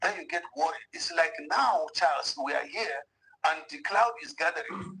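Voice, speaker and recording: A man's high, raised, projected voice with a bright, sharp tone and very wide pitch swings. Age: 60s. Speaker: politician. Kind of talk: TV interview.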